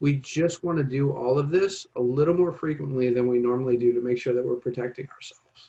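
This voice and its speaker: The voice is somewhat breathy. A man delivers it at a moderate speed. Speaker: public health presenter. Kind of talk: informational presentation.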